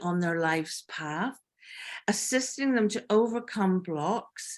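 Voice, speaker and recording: This woman has an unremarkable speaking voice at medium pitch with ordinary pitch variation, captured in a very clean recording with a silent background. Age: 60s. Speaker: panel host and workshop facilitator. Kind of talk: panel discussion.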